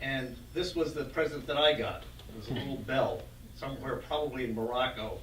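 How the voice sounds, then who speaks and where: Over noticeable background noise and audible room echo, a man with an American accent talks at a fairly quick pace, with big swings in loudness. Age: 70s. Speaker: event organizer. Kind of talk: welcoming remarks and group facilitation.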